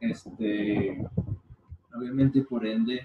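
A Mexican accent against noticeable background noise. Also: man. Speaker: podcast co-host. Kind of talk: casual chat.

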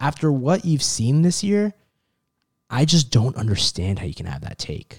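A somewhat breathy man's voice, fairly high in pitch, with very wide pitch swings and big swings in loudness at a moderate pace, on a very clean recording with a silent background. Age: 20s. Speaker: sports podcast co-host. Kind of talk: casual chat.

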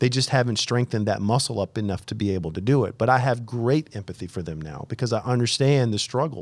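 A man's fairly quick, normal speaking voice at a medium pitch, with ordinary pitch variation, on a very clean recording with a silent background. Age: 40s. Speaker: podcast host, army veteran and entrepreneur. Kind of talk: casual chat.

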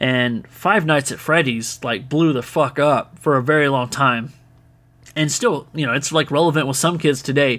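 A man with an ordinary speaking voice talks moderately paced, his pitch varying in an ordinary way. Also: fairly high pitch for a man. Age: 30s. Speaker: podcast host. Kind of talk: casual solo monologue answering listener questions. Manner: casual, filler-heavy.

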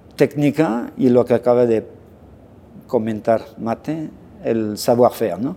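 At a fairly slow pace with long, frequent pauses, the voice carries a dark, mellow tone. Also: man, medium pitch for a man, ordinary pitch variation. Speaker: pastry chef and culinary instructor. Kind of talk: casual interview.

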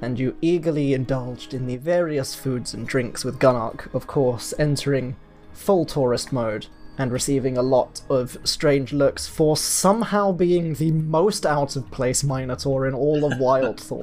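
With music in the background, someone speaks with a British accent at a fairly slow pace. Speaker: tabletop game master, podcast host. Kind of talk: storytelling narration.

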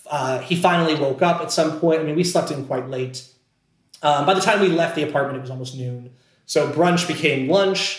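A man with an American accent talks at a fairly quick pace in a fairly high voice. His pitch varies in an ordinary way, with audible room echo present. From Scranton, Pennsylvania. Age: 20s. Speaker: actor. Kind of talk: casual chat.

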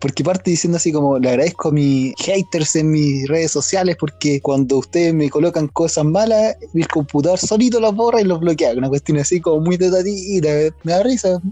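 Noticeable background noise sits under a man's high-pitched voice at a moderate pace, with hardly any pauses. His loudness is very even, and his pitch varies in an ordinary way. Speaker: podcast co-host. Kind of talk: casual chat.

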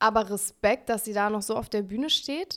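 A woman's fairly high voice moves with ordinary pitch variation. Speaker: podcast co-host and singer. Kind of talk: casual chat. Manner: cheerful.

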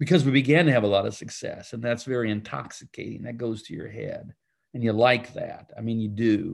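In a plain, everyday voice, a man speaks at a moderate pace, his pitch varying in an ordinary way. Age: 60s. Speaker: pastor. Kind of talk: casual chat.

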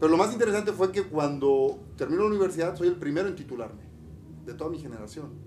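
Very fast and animated, with lively intonation and big swings in loudness. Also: man, high pitch for a man. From Mexico, Campeche. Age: 50s. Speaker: podcast co-host, entrepreneur. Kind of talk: casual chat.

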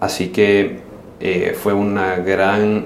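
With a Salvadoran accent, a man speaks in a fairly low voice amid audible room echo and noticeable background noise. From El Salvador. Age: 30s. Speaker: social entrepreneur. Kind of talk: casual interview.

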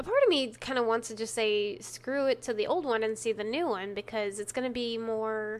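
Speaking with a slight Texan accent, a woman uses an animated tone at a fairly quick pace, her fairly high pitch showing ordinary variation. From Texas. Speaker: true crime podcast co-host. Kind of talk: casual chat, banter. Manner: animated, laughs often.

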